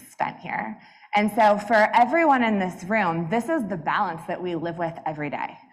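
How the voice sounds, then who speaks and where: Through audible room echo, a woman speaks at a fairly slow pace with very wide pitch swings. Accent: American. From US South, Atlanta. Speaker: business executive, conference speaker. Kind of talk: keynote talk. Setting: stage with audience. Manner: loud.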